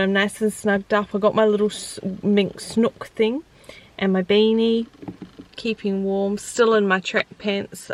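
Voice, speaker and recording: A woman with a New Zealand accent talks fairly slowly at a medium pitch. Noticeable noise sits in the background. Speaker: vlogger. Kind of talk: casual vlog talk. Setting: in a car; outdoors by the road. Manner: animated.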